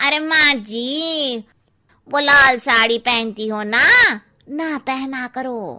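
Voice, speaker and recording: A woman uses a cartoonish character voice. It is high-pitched and delivered at a very slow pace. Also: ordinary pitch variation. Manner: cheeky, familiar.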